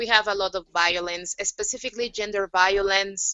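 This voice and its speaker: A woman at a medium pitch, with a Spanish accent. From Mexico. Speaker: youth activist. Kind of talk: panel discussion. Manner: halting, many fillers.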